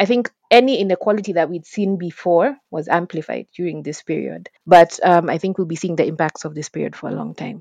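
A woman with vocal fry and a fairly low pitch talks at a fairly quick pace with hardly any pauses, ordinary pitch variation and big swings in loudness, in a dry, close sound with no echo. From Kenya. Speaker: education activist. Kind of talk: interview. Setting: remote call.

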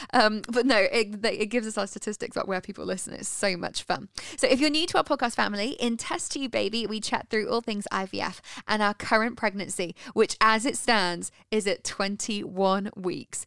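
A woman with a British accent speaks at a moderate pace in a fairly high voice with ordinary pitch variation, on a very clean recording with a silent background. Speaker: podcast host. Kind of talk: casual chat.

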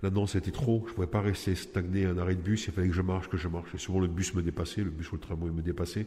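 A man talks at a very fast pace with hardly any pauses. His voice is very deep and low, somewhat breathy, with a dark, mellow tone. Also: fairly even intonation. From Nice, southern France. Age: 40s. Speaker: prisoner. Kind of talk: personal testimony. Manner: halting, with hesitations.

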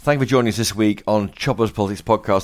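Lively intonation from a man, captured on a very clean recording with a silent background. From northern England, Lancashire. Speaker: political journalist and podcast host. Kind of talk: interview. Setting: pub.

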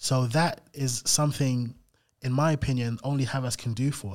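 With a London accent, this man talks at a moderate pace and medium pitch, his intonation fairly even, on a very clean recording with a silent background. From South London (Camberwell). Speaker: investment manager. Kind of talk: interview. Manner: repetitive, halting.

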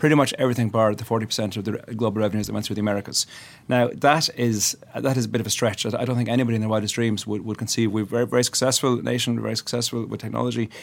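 With an Irish accent, a man speaks at a very fast pace and with fairly even intonation. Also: medium pitch for a man. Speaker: politician. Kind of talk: studio panel discussion. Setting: studio.

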